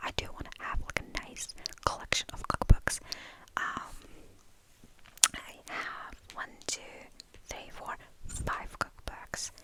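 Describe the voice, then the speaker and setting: Someone whispers very slowly with long, frequent pauses. Noticeable background noise sits behind the voice. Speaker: ASMR creator. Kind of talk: ASMR rambling.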